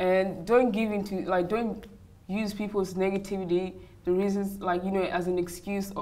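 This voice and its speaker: A woman talks at a moderate pace. Her intonation is monotone and flat. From Uganda, raised in Perth, Australia from age seven. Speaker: model. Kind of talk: interview. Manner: hesitant, many fillers. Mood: earnest, reflective.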